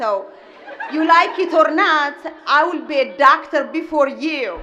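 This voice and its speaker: A woman with a strong Ethiopian accent speaks in a raised, projected voice with audible room echo. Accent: heavy Ethiopian. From Ethiopia (Gojam). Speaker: restaurant owner, commencement speaker. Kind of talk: commencement speech. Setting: stage with audience.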